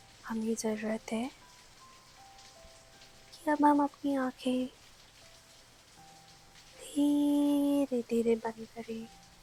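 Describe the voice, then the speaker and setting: Music plays in the background as a woman with a high pitch uses a soothing tone, fairly even intonation and long, frequent pauses. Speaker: sleep story narrator. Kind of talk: sleep story, calming bedtime narration. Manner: soft, slow, soothing.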